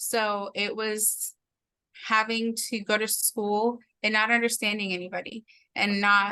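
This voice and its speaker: This woman speaks at a fairly high pitch in a bright, sharp tone. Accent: Spanish. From Mexico, moved to Oklahoma at nine. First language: Spanish. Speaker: interview guest. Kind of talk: casual interview, personal testimony.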